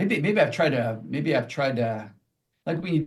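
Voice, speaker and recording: With a somewhat breathy voice, a man talks using lively intonation. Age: 60s. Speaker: pastor. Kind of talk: podcast interview. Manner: halting.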